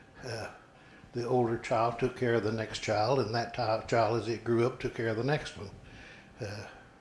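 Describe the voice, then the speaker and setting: A man with an American accent speaks at a medium pitch and a moderate pace. His delivery is monotone and flat, and somewhat breathy. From southwest Missouri (Webb City, Jasper County). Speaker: interviewee, local elder. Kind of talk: oral history interview.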